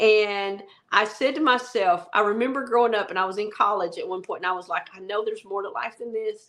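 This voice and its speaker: A woman talks at a fairly quick pace in a Southern accent. Her pitch is fairly high, with ordinary pitch variation. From US South, rural Arkansas. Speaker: travel nurse, podcast co-host. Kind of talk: casual chat.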